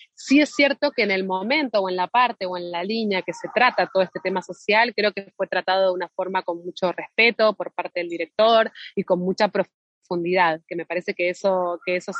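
At a fairly quick pace, a woman talks in a plain, everyday voice of medium pitch with ordinary pitch variation. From Argentina. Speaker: actress. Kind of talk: interview. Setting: phone call.

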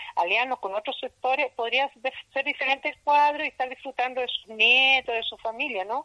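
A woman's bright, sharp voice at a moderate pace, dry and close with no echo. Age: 60s. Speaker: market vendor and association leader. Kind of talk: interview. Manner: energetic.

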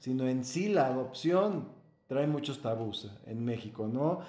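Amid audible room echo, a man speaks at a fairly slow pace with lively intonation. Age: 40s. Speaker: adoptive father. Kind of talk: casual interview chat.

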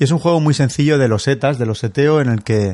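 Ordinary pitch variation and a fairly quick pace from a man, over a quiet background. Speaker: board game podcast co-host. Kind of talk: casual chat.

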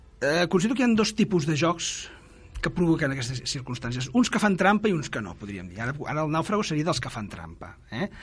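Vocal fry marks a man's fairly high voice as he talks at a fairly quick pace with very wide pitch swings and big swings in loudness. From Catalonia, Granollers. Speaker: board game designer. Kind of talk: casual chat.

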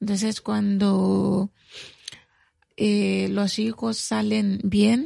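A woman speaks at a very slow pace. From Mali, south (Mandinka). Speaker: community health worker and activist. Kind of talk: radio interview. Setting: studio.

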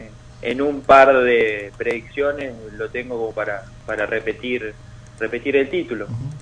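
Delivered at a fairly slow pace with fairly even intonation, the speech shows big swings in loudness over noticeable background noise. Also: man, medium pitch for a man. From Argentina, Rafaela. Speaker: baseball columnist. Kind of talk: radio sports analysis.

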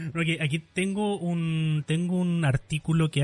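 A man with a Chilean accent speaks in a somewhat breathy voice. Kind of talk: casual chat.

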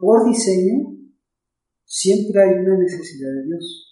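A man's high-pitched voice, dark and mellow in tone, at a very slow pace with audible room echo. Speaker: pastor. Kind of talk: casual chat.

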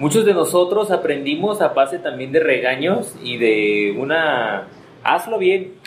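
At a fairly slow pace, a man with a fairly high pitch makes very wide pitch swings amid noticeable background noise. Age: 30s. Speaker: podcast co-host. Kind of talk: casual chat.

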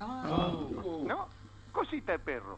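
A man speaks with very wide pitch swings. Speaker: caller. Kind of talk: joke telling. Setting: phone call.

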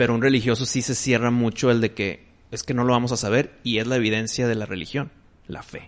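A man talks fairly quickly in an ordinary speaking voice, his pitch medium and his intonation fairly even. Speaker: podcast host. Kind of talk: casual chat.

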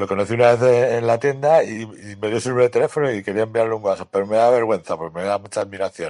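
The recording is dry and close with no echo as a man talks at a very fast pace with fairly even intonation. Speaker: comic shop clerk. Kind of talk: recorded recommendations. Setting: remote recording.

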